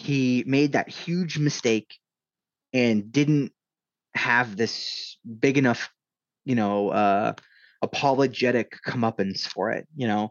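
A man speaks very slowly with long, frequent pauses, at a medium pitch with ordinary pitch variation. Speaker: hockey journalist. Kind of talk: interview conversation. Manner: casual, hesitant with fillers.

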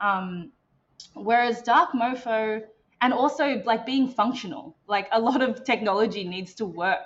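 A woman with an Australian accent, fairly high pitch, lively intonation and a fairly slow pace. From Melbourne, Australia. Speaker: interactive designer and developer. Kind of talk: casual interview chat.

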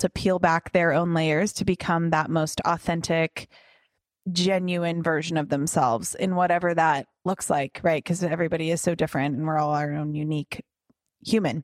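On a very clean recording with a silent background and a dry, close sound with no echo, a woman with an unremarkable speaking voice talks at a moderate pace in a fairly low pitch. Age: 30s. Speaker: fitness instructor and podcast host. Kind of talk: casual chat.

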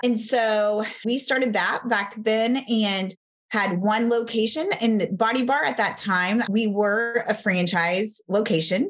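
A woman with a Texan accent and ordinary pitch variation. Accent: American, Texan.

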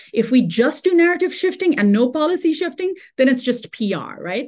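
A high-pitched woman with a dark, mellow tone, very wide pitch swings, a moderate pace and hardly any pauses. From India and Dubai. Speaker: radio host and journalist. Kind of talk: interview conversation.

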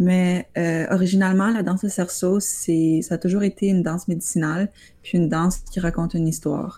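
A woman at a medium pitch talks at a fairly quick pace in a dark, mellow, somewhat breathy tone. Her loudness stays very even and her intonation is monotone and flat. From Ottawa, Ontario (Franco-Ontarian). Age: young. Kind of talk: interview.

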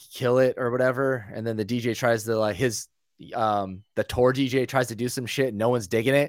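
In a very clean recording with a silent background and a dry, close sound with no echo, a man with an American accent uses a normal speaking voice at a medium pitch, with fairly even intonation and a moderate pace. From Northern California. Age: 30s. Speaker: DJ. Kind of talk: casual chat.

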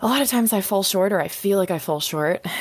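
With a plain, everyday voice, a woman speaks at a medium pitch using lively intonation. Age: 20s. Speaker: biologist and small farm owner. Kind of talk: interview.

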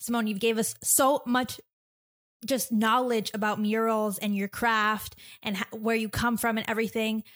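A woman speaks in a plain, everyday voice, fairly high in pitch, at a moderate pace. The recording is very clean, with a silent background. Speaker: podcast host and illustrator. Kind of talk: casual interview chat.

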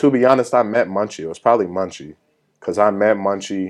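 Speaking with an American accent against a quiet background, a man has a plain, everyday voice, fairly low in pitch, moving at a fairly quick pace with ordinary pitch variation. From Minnesota, Twin Cities suburbs. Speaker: rapper. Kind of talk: casual interview.

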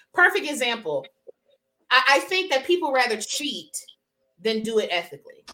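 A woman speaks at a moderate pace in a raised, projected voice, her high pitch swinging very widely and her tone bright and sharp, with long, frequent pauses. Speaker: podcast co-host. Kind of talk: casual chat. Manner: loud.

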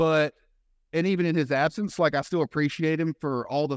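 With a Southern US accent, a man with a fairly high pitch and ordinary pitch variation speaks at a moderate pace, on a very clean, dry and close recording with a silent background and no echo. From US South. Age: 30s. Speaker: fitness and life coach. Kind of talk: interview conversation. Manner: halting, many repeated words.

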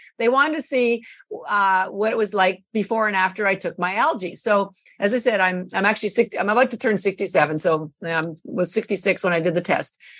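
A woman with an ordinary speaking voice talks at a moderate pace. Her pitch is medium, with ordinary pitch variation. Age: 60s. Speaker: company founder and nutrition advocate. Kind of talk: interview.

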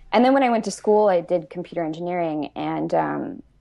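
Speaking at a moderate pace, a woman has a plain, everyday voice. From Newfoundland, Canada. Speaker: software engineer. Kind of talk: interview.

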